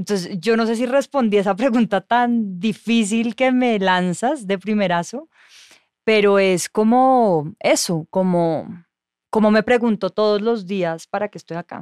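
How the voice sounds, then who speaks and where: On a very clean recording with a silent background and a dry, close sound with no echo, a woman with a normal speaking voice talks at a fairly slow pace, medium in pitch with ordinary pitch variation. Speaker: journalist. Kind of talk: casual chat.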